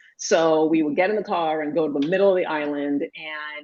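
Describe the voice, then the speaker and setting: This woman has a very deep, low pitch, ordinary pitch variation and a Puerto Rican accent. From Puerto Rico. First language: Spanish. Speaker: pediatrician. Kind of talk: interview conversation.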